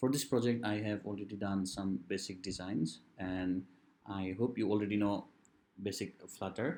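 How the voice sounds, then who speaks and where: A man's voice sounds dark and mellow, with a fairly low pitch. He moves at a moderate pace with ordinary pitch variation. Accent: non-native. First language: non-native English speaker. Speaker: software developer / tutorial creator. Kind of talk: coding tutorial.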